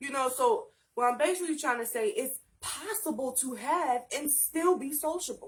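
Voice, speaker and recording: A woman speaks in a raised, projected voice at a fairly slow pace. Her tone is nervous and animated, bright and sharp. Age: 20s. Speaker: YouTube talk show host. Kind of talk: solo vlog monologue. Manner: slight nervous stutter; animated, excited.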